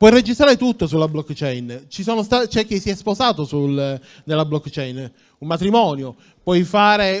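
A man talks at a high pitch and a moderate pace. The background is quiet. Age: 40s. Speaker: tech entrepreneur; conference speaker. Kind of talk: conference talk. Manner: halting, many fillers. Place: hall. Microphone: handheld.

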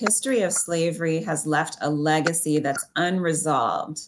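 With a Canadian accent, a woman speaks at a fairly low pitch and moderate pace over noticeable background noise. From Ontario, Canada. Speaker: historian and author; talk show guest. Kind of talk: interview. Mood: earnest, thoughtful. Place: home room. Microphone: video call.

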